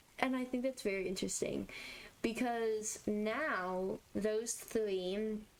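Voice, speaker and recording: Over noticeable background noise, a woman talks very slowly at a fairly high pitch, with very even loudness and fairly even intonation. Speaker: gaming YouTuber. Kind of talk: casual gameplay commentary. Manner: repetitive, stammering restarts.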